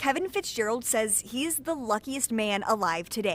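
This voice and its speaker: An ordinary speaking voice moves at a moderate pace. Its intonation is lively. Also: woman. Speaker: TV news anchor and reporter. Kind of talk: TV news anchor and reporter delivery.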